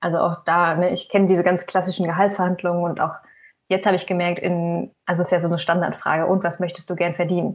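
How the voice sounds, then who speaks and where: Against a quiet background, a woman speaks at a very fast pace in a fairly low pitch, her intonation monotone and flat. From Germany, Hesse (near Frankfurt). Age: 20s. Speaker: recent graduate, researcher. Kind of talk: podcast interview at live event.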